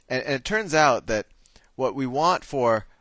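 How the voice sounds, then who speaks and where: A man with an unremarkable speaking voice uses lively intonation at a moderate pace on a very clean recording with a silent background. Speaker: math teacher. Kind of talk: tutorial.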